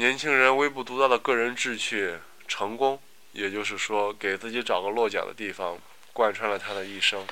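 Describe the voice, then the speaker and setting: Bright and sharp in tone, the man's voice sits at a medium pitch. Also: ordinary pitch variation, moderate pace. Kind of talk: reading aloud.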